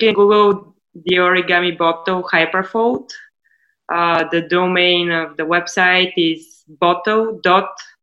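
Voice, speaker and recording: Speaking with a Bulgarian accent, a woman uses a fairly low pitch and fairly even intonation at a fairly slow pace. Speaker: startup CEO. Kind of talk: interview.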